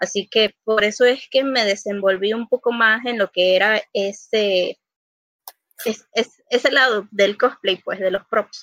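A woman's fairly high voice, fairly slow and fairly even in intonation, a plain, everyday voice, recorded dry and close with no echo. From Panama City, Panama. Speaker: cosplayer and costume maker. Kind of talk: casual chat.

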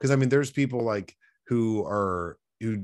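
A man with an American accent talks at a fairly quick pace. He has an ordinary speaking voice with ordinary pitch variation. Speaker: podcast co-host. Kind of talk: casual chat. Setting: video call.

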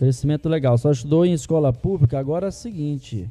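Music plays behind a man speaking at a fairly quick pace. His pitch is fairly high. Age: 30s. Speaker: school podcast host. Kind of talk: show announcement; casual talk show chat. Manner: halting, many fillers.

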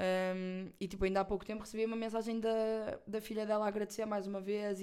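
In a European Portuguese accent, a woman talks at a fairly quick pace with medium pitch and monotone, flat intonation. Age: 20s. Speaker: podcast host. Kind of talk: casual chat. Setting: recording at an agency office.

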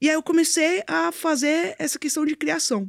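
In a dry, close sound with no echo, a woman speaks at a moderate pace with very wide pitch swings. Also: very clean recording, silent background. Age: 20s. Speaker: crypto and blockchain entrepreneur. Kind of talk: interview, casual chat. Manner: halting, many fillers.

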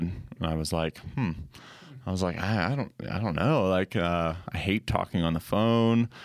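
Over a very clean recording with a silent background, a man with an American accent speaks in a plain, everyday voice. He talks at a moderate pace, fairly low in pitch with lively intonation. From Colorado. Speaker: ministry creative director. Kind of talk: casual chat.

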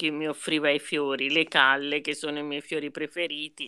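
With a very deep, low pitch and a bright, sharp tone, a woman speaks at a moderate pace. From Tuscany, southern Italian parents. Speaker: retired teacher and writer. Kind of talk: casual chat. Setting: video call.

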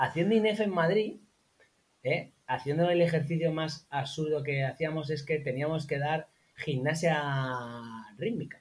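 A man speaks fairly slowly at a fairly high pitch. His pitch variation is ordinary, and he takes long, frequent pauses. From Spain, La Mancha (Albacete). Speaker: copywriter and online marketer. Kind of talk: casual interview.

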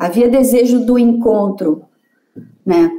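In a high voice, a woman speaks with lively intonation. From Vassouras, Rio de Janeiro state, Brazil. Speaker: psychoanalyst and lecturer. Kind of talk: casual interview chat. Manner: hesitant, many fillers and repetitions.

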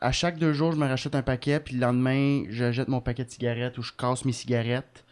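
A man speaks in an ordinary speaking voice at a medium pitch. His pace is fairly quick and his intonation fairly even. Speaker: comedian. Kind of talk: casual chat.

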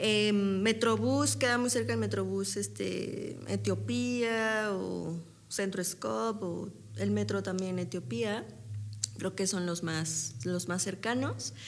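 Heard with audible room echo, a woman speaks at a very slow pace in a very deep, low pitch, her voice making very wide pitch swings. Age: 30s. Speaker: stage actress. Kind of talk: interview.

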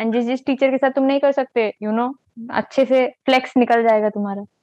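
A woman speaks at a moderate pace in a high voice. Her intonation stays fairly even. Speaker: engineering student. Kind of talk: casual chat.

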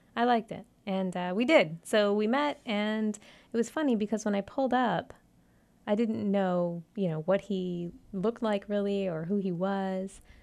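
Speaking at a moderate pace, a woman with an American accent uses a medium pitch and ordinary pitch variation. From South Florida (Davie). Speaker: podcast co-host. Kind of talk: casual chat. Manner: animated.

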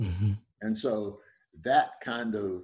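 The speaker talks at a very slow pace. The accent is American. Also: man. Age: 80s+. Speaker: retired professor. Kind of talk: radio interview.

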